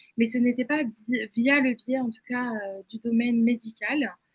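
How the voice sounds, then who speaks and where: A woman speaks at a high pitch and a fairly slow pace. Her intonation stays fairly even. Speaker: image consultant, webinar speaker. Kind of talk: webinar presentation. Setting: online webinar. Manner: halting, many fillers.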